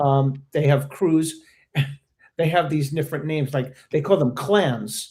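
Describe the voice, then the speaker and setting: A dark, mellow tone in an American accent, fairly slow and somewhat breathy, with ordinary pitch variation. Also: man, fairly high pitch for a man. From Maryland and New York. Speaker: veteran locking dancer. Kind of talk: casual panel discussion. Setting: live stream.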